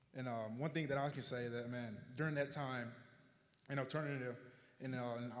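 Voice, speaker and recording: In an American accent, the speaker talks at a moderate pace with flat, monotone intonation, with audible room echo and noticeable background noise. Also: man. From Arkansas, US South. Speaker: honoree telling his life story. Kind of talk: public speech, personal testimony. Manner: slightly slurred from retainers.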